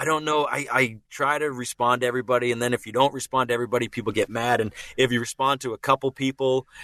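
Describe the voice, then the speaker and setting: A man with a Boston accent talks at a very fast pace with hardly any pauses, his medium pitch flat and monotone. His tone is bright and sharp, and the sound is dry and close with no echo. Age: 30s. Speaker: voice actor and impressionist. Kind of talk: casual chat. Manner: halting, many false starts.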